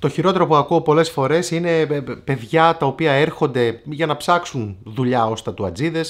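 Speech moves at a fairly slow pace with ordinary pitch variation. The background is quiet. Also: man. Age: 40s. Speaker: tattoo artist and YouTuber; YouTuber. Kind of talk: casual vlog advice talk. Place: shop.

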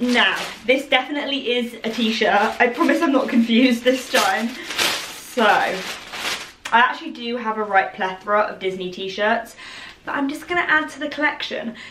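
Amid noticeable background noise, a woman with an English accent talks at a moderate pace in a high pitch with ordinary pitch variation. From England. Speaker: fashion YouTuber. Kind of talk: try-on haul video. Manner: excitable. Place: home room. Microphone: camera far.

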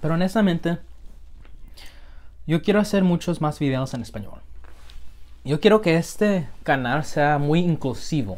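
The delivery is fairly slow, with lively intonation broken by long, frequent pauses. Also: man, fairly high pitch for a man. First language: English (speaking Spanish). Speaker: food vlogger. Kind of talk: casual chat; casual vlog chat. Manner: halting. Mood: relaxed, cheerful. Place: home room. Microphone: phone near.

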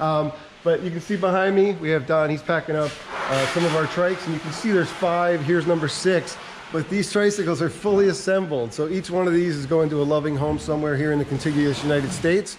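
The intonation stays fairly even. Noticeable background noise runs underneath. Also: man. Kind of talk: walking tour commentary. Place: factory. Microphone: phone near.

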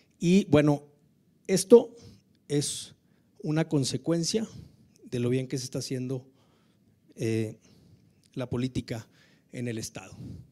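At a fairly slow pace, a man with a northern Mexican accent talks in a dark, mellow voice against a quiet background. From Mexico. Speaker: government tourism official, politician; politician. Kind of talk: informal speech. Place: hall. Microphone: handheld.

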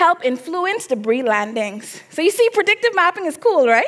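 A woman's animated tone with very wide pitch swings at a moderate pace. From Bahamas. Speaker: graduate student; presenter. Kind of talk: competition presentation. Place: stage. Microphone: headset.

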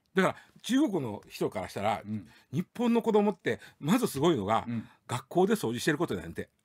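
A man's high voice with very wide pitch swings, fairly quick pace and a quiet background. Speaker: news commentator. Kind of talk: casual radio news discussion. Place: studio.

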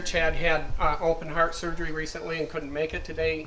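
A man talks at a moderate pace in a monotone, flat intonation. Light background noise sits behind him. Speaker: event host introducing panel. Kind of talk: public address introduction. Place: tent. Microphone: handheld.

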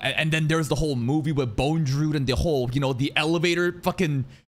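The man rattles along very fast, his pitch varying in an ordinary way. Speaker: streamer. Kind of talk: casual reaction commentary. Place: home room. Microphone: studio mic.

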